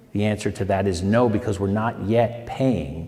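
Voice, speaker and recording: A man's dark, mellow voice, fairly low in pitch, with fairly even intonation and audible room echo. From Pennsylvania. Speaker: state legislator. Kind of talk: town hall Q&A answer. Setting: town hall meeting.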